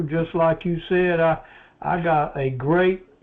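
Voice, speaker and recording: This man speaks at a high pitch with flat, monotone intonation. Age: 70s. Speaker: seminar participant. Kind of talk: casual discussion.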